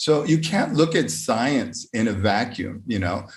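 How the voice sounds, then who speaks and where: A man speaks with an American accent, somewhat breathy. Room echo is audible. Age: 50s. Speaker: conference speaker, educator. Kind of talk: lecture. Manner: hesitant, many fillers.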